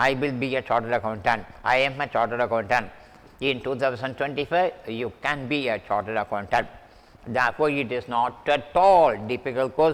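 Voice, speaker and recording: Speaking at a fairly quick pace with an Indian accent, a man keeps a medium pitch and ordinary pitch variation. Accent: Indian English, self-noted. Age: 70s. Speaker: math teacher. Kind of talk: lecture. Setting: online class recording with mic.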